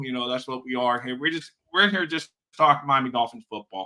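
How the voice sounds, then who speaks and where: A man with a bright, sharp tone. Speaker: sports podcast host. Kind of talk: casual chat. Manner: fast; animated.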